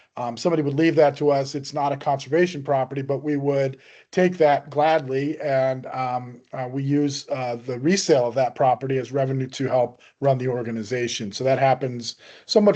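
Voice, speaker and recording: The voice has a dark, mellow tone and hardly any pauses, against a quiet background. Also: man. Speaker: land conservation presenter. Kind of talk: presentation. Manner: fast; many fillers (um, uh).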